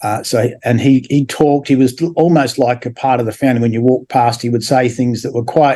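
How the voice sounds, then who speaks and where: A man speaks in a dark, mellow tone at a moderate pace. His intonation stays fairly even. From Australia, Adelaide. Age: 70s. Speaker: former religious group member, builder. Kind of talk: interview testimony. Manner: halting, many fillers.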